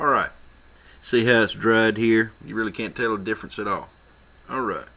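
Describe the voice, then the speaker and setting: A man's voice is heard. Behind it sits noticeable background noise. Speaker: miniature painting tutor. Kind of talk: tutorial. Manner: fast; casual.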